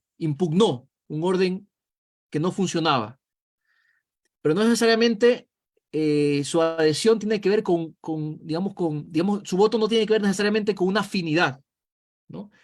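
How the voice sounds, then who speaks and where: At a moderate pace, the speech shows ordinary pitch variation and long, frequent pauses. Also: man, high pitch for a man. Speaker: political analyst. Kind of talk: video call interview.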